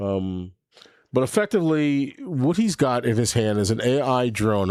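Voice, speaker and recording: This man speaks with an American accent and lively intonation. His tone is dark and mellow, on a very clean recording with a silent background. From New York. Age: 60s. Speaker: livestream host. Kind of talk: casual live stream chat. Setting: home studio. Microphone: new microphone.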